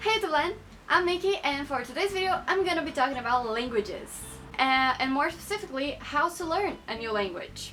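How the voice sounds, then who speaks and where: Over music in the background, a woman uses a raised, projected voice at a high pitch. She talks at a fairly quick pace with very wide pitch swings. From Brazil. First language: Portuguese. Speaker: YouTuber. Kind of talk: casual vlog talk to camera.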